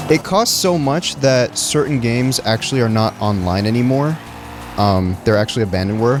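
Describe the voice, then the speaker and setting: The speaker talks at a moderate pace with lively intonation. Music plays in the background, and the loudness stays very even. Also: man, medium pitch for a man. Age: 20s. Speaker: streamer. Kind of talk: casual chat. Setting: livestream while playing a game. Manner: animated.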